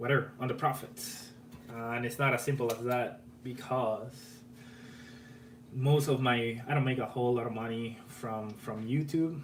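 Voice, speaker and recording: With an Argentine accent, a man speaks at a moderate pace and medium pitch in a monotone, flat intonation, amid audible room echo and noticeable background noise. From Argentina. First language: Spanish. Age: 30s. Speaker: electronics YouTuber. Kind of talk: live stream chat. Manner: casual, repetitive false starts.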